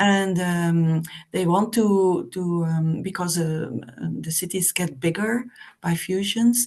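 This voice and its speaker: With a Flemish accent, a woman speaks at a very slow pace in a fairly low, somewhat breathy voice with ordinary pitch variation. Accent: Flemish Dutch. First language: Dutch. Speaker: representative of a village association. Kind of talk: online meeting discussion. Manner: halting, many hesitations.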